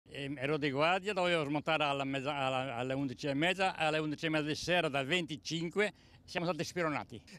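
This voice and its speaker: Speaking at a very fast pace, a man with a fairly high pitch and a bright, sharp tone keeps his intonation fairly even. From Istria (Pazin). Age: 80s+. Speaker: former ship stoker, shipwreck survivor. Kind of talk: interview answer.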